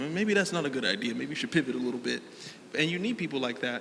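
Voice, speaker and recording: Noticeable background noise accompanies a man whose voice shows ordinary pitch variation. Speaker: panelist, content creator. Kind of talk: panel discussion. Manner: loud.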